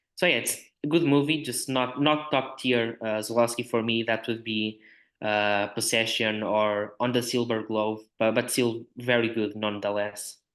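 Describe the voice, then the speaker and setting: The background is quiet. A man talks at a medium pitch with a Portuguese accent. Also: fairly even intonation, moderate pace. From Portugal, north (Porto). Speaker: film writer. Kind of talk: podcast discussion. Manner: halting, many fillers.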